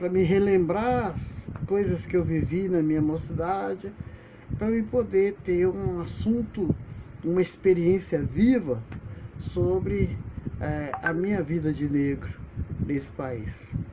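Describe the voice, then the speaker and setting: Amid noticeable background noise, a man talks at a very slow pace with very wide pitch swings. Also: fairly high pitch for a man. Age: 70s. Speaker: retired teacher and video blogger. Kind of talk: personal memoir monologue.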